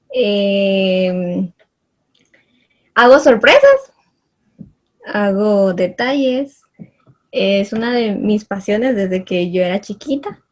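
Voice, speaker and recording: A woman's medium-pitched, somewhat breathy voice at a very slow pace, with ordinary pitch variation and long, frequent pauses. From Guatemala, Chimaltenango. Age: 20s. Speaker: entrepreneur and student. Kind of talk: interview.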